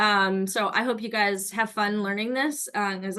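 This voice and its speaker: Fairly high in pitch, a woman's voice moves with ordinary pitch variation. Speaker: fitness instructor. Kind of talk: workshop instruction. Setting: video call. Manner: fast.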